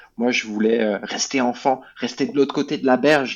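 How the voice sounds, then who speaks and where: At a moderate pace, a man talks at a medium pitch. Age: 30s. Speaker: former alcoholic, charity president. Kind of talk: testimony. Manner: halting, many fillers.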